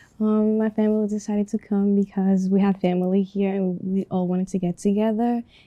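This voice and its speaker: In a Spanish accent, a woman talks at a fairly quick pace with a dark, mellow tone and monotone, flat intonation, captured in a very clean recording against a silent background. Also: very even loudness. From Dominican Republic. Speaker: student interviewee. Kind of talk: class project interview.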